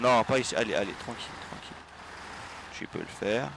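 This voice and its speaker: There is noticeable background noise. Over it, a man speaks fairly quickly. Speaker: gaming streamer. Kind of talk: live gameplay commentary. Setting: livestream. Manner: animated.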